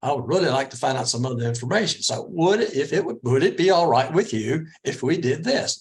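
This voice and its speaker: A man with a fairly high, somewhat breathy voice speaks at a fairly quick pace with ordinary pitch variation. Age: 60s. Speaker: interview coach. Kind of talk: presentation.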